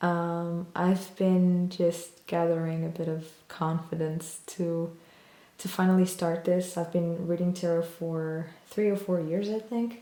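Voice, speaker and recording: A woman with a non-native accent speaks in a flat monotone at a fairly low pitch. Her recording has audible room echo and noticeable background noise. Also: fairly slow pace. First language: not English. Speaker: tarot reader. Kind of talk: tarot reading video. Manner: hesitant, many fillers.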